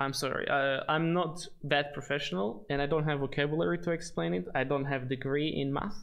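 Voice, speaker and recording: Someone with a non-native accent speaks with hardly any pauses over noticeable background noise. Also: fairly quick pace. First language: not English. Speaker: gaming streamer. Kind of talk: live stream chat and tutorial. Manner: hesitant, many fillers.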